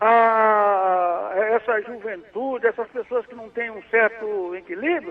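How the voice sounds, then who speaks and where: Speaking at a very slow pace, a man uses a high pitch with ordinary pitch variation. His loudness swings widely. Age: 70s. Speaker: caller. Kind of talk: phone-in chat. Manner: halting.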